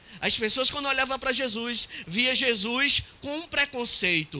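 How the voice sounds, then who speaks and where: Over noticeable background noise, a man talks at a fairly slow pace in a raised, projected voice with lively intonation. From Recife, Brazil.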